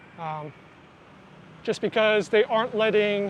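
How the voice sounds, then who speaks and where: With an American accent, a man speaks in a high voice. Noticeable background noise runs underneath. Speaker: travel vlogger. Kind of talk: casual vlog narration.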